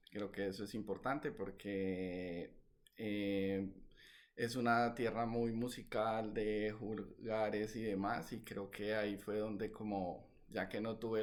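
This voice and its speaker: At a fairly slow pace, a man speaks in a flat monotone with a fairly low pitch. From Colombia, Valledupar (Caribbean coast). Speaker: novelist. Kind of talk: interview. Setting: video call. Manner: hesitant, many fillers.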